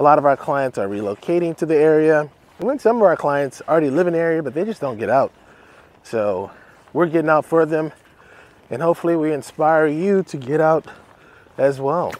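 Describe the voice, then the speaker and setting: A man talks at a fairly quick pace. The sound is dry with no echo. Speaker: real estate channel host. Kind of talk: casual walking tour narration. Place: forest. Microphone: phone near.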